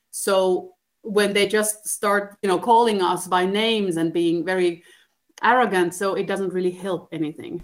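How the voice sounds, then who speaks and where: A woman speaks at a moderate pace and medium pitch with an ordinary speaking voice. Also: fairly even intonation. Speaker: TV journalist. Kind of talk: interview answers.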